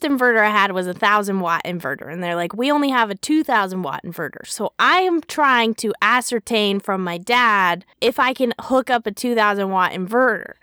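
A woman with a North American accent speaks in a bright, sharp, animated tone at a fairly high pitch, with lively intonation, a moderate pace and hardly any pauses, on a very clean recording with a silent background and a dry, close sound with no echo. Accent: plain North American. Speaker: podcast co-host. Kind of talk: casual chat; podcast outro.

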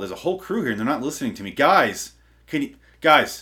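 A man's voice carries vocal fry and swings very widely in pitch. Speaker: comedy podcast host. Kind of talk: comedic rant. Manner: feigned enthusiasm, sarcastic.

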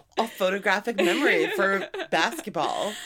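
Woman with an American accent over noticeable background noise. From New York. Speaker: podcast co-host. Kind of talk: casual chat.

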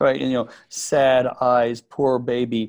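A man speaks at a fairly slow pace in a normal speaking voice with an American accent. His medium pitch has fairly even intonation. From Texas (Midland). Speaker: camp owner. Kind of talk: interview.

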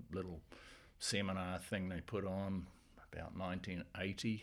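A man talks with a New Zealand accent at a moderate pace. His pitch is very deep and low. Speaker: winemaker. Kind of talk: casual chat.

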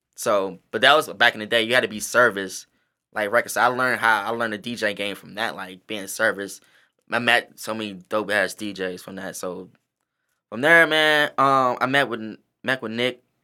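In a very clean recording with a silent background, a man of medium pitch speaks in a bright, sharp tone with ordinary pitch variation. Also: moderate pace, big swings in loudness. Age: 30s. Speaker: hip-hop dancer. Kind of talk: casual chat.

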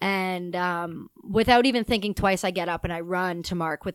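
A woman with a fairly low pitch speaks at a moderate pace. The recording is very clean, with a silent background and a dry, close sound with no echo. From Canada. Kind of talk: casual interview conversation. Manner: loud; animated.

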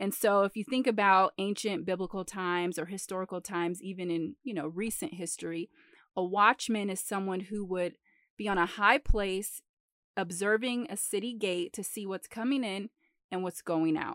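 A woman with an American accent talks at a moderate pace, at a medium pitch and with ordinary pitch variation, in an unremarkable speaking voice. The sound is dry and close with no echo, and the recording is very clean over a silent background. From Metro Detroit. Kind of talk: Bible teaching. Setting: late at night.

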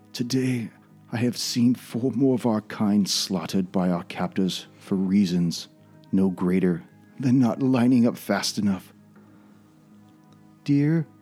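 A put-on character voice from a man, soft-spoken and shaky, fairly low in pitch, at a fairly slow pace with long, frequent pauses over faint music in the background. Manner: soft, trembling.

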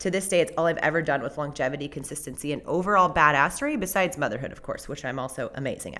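With an American accent, a woman speaks at a very fast pace in a fairly low pitch with ordinary pitch variation. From Southern California. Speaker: podcast host and realtor. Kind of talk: personal storytelling monologue.

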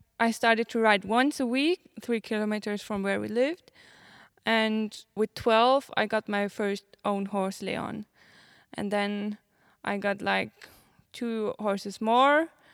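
On a very clean, dry, close recording with no echo and a silent background, a woman with a fairly high voice speaks fairly slowly, with fairly even intonation and long, frequent pauses. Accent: German. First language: German. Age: 20s. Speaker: show jumping rider. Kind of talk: interview. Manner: halting.

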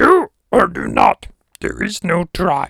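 This is a put-on character voice with a raspy edge. It moves at a fairly slow pace. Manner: wise, cryptic.

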